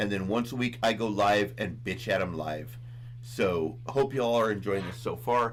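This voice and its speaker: Audible room echo around a man's medium-pitched voice, moderate in pace with fairly even intonation. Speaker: reaction channel host. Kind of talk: casual chat. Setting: livestream.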